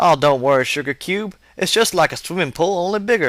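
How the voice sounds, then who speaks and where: A man puts on a character voice with a high pitch and talks at a fairly quick pace. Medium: read story. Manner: folksy, self-assured.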